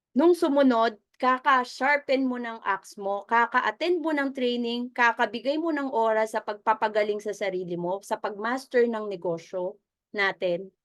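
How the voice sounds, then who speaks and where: Over a quiet background, a woman talks at a moderate pace. Her pitch is fairly high and her intonation lively. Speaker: business mentor. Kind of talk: motivational training talk. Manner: conversational, audience-engaging.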